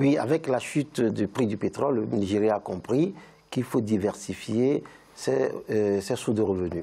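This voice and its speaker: A man speaks with a dark, mellow tone and a fairly low pitch. His delivery is fairly slow, with lively intonation. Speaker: lawyer. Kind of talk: panel discussion. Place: studio. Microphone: lapel.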